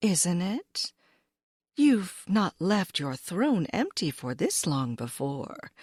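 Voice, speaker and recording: A female-sounding, soft-spoken put-on character voice at medium pitch moves very slowly through very wide pitch swings on a very clean recording with a silent background. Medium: read story. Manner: gentle, tender.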